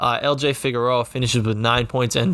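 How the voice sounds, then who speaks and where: A man's medium-pitched voice at a fairly quick pace over noticeable background noise. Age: 20s. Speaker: sports podcast host. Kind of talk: sports podcast recap and interview.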